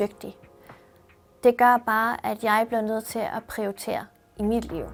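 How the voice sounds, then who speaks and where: Fairly even intonation marks speech delivered at a fairly slow pace. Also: woman. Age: 30s. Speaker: university student. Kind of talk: personal testimony interview.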